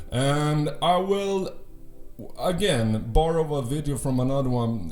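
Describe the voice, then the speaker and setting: Audible room echo and noticeable background noise are both present in this clip. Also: man. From Sweden. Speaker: youtuber. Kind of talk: documentary narration.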